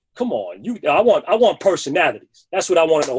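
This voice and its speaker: With a New York accent, a man talks at a very fast pace with lively intonation. The sound is dry and close, with no echo. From New York, the Bronx. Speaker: sneaker personality. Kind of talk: interview. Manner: animated.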